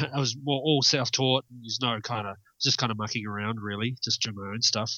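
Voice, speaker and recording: A man with a New Zealand accent speaks at a medium pitch and a moderate pace with fairly even intonation. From New Zealand, South Island (Milton, near Dunedin). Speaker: metal guitarist. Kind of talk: interview. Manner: halting, many fillers.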